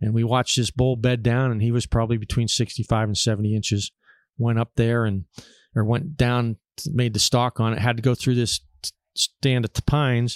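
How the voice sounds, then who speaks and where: With an American accent, a man talks at a fairly quick pace in a medium pitch and a monotone, flat intonation, on a very clean recording with a silent background and a dry, close sound with no echo. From Pennsylvania, Erie area. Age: 60s. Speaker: taxidermist and hunter. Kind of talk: casual chat. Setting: hunting camp.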